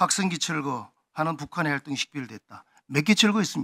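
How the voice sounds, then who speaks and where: In a dry, close recording with no echo, a man speaks at a moderate pace with a bright, sharp tone and lively intonation. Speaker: lawmaker. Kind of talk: parliamentary questioning.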